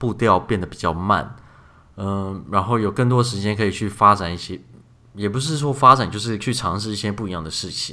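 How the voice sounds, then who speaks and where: Using a bright, sharp tone, a man speaks at a fairly low pitch and moderate pace with ordinary pitch variation. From Taiwan. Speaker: podcast host, software engineer. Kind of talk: casual chat.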